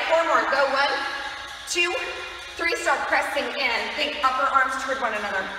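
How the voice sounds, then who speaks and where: A woman speaks in a raised, projected voice amid strong room echo and light background noise. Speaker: fitness instructor. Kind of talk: exercise class cueing. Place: gym. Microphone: camera far.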